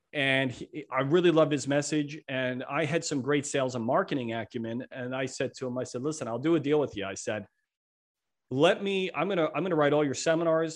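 A man with an unremarkable speaking voice talks at a fairly quick pace and fairly high pitch. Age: 50s. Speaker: entrepreneur and author. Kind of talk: podcast interview.

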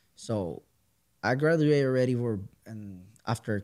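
With a Puerto Rican accent, a man speaks with ordinary pitch variation. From Puerto Rico. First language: Spanish. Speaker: musician and podcaster. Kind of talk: casual chat.

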